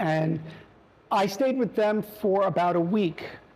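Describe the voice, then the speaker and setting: A New York accent at a fairly slow pace, with ordinary pitch variation. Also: man. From New York, the Bronx. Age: 60s. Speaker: family bakery owner. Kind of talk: testimony. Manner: halting, many fillers.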